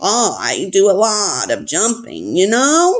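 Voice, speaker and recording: A sing-song, female-sounding put-on character voice at fairly high pitch rings out in a very clean recording with a silent background. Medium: read story. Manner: sing-song, melodic.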